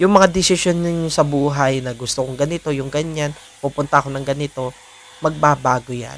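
This man's fairly high voice keeps fairly even intonation at a moderate pace while noticeable background noise sits behind it. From Philippines. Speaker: vlogger. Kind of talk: personal vlog monologue. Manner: hesitant, many fillers.

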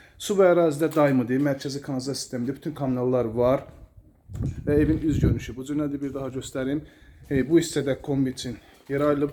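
A man talks at a very fast pace. His voice is medium-pitched, with a dark, mellow tone. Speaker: real estate agent. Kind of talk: sales pitch.

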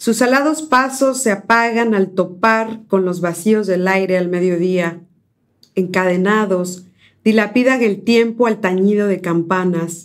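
Her loudness very even, a woman speaks fairly slowly at a medium pitch with ordinary pitch variation. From Mexico, Córdoba, Veracruz. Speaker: poet and essayist. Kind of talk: poetry reading; interview. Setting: university studio. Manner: halting, frequent fillers.

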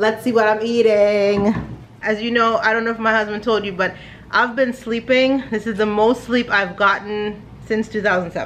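A woman speaks with monotone, flat intonation. There is light noise in the background. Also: moderate pace. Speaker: family vlogger. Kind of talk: casual vlog chat. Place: home room. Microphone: phone near.

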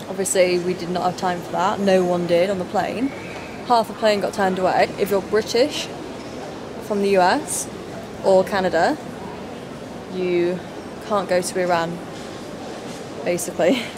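A woman's voice with long, frequent pauses over noticeable background noise. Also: fairly even intonation, moderate pace. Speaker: travel vlogger. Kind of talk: casual vlog chat. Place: station. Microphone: phone near.

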